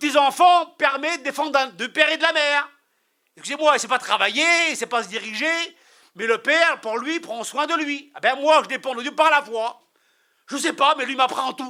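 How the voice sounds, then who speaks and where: A man speaks at a fairly quick pace in an animated tone, his raised, projected voice pitched extremely high. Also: ordinary pitch variation. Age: 60s. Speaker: preacher. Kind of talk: sermon.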